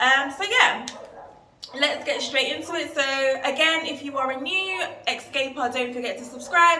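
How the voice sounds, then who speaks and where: In a London accent, a woman uses a raised, projected voice at a high pitch with ordinary pitch variation and a moderate pace, with audible room echo and noticeable background noise. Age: 20s. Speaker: travel vlogger. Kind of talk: casual vlog talk to camera.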